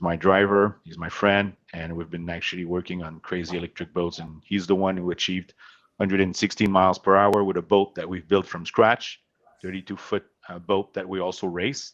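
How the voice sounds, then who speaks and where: With a French Canadian accent, the speaker goes at a fairly quick pace in a monotone, flat delivery with big swings in loudness over a quiet background. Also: man, very deep, low pitch for a man. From Quebec, Montreal. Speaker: company CEO. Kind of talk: podcast interview. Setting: remote call from home.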